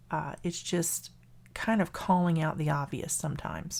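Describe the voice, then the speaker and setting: A woman is speaking. She has a Southern US accent. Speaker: math teacher. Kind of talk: lecture.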